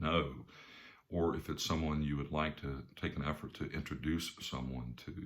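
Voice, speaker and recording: A man speaks with a Southern US accent in a very deep, low voice. His intonation is fairly even and his pace fairly quick. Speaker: business coach and speaker. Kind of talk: talk to camera with personal story. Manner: casual, conversational with fillers.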